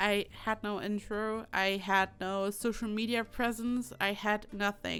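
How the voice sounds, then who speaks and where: A woman speaks with a German accent. Her medium-pitched voice is monotone, with flat intonation. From Germany. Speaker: YouTuber, Sims builder. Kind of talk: voiceover commentary. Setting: home desk.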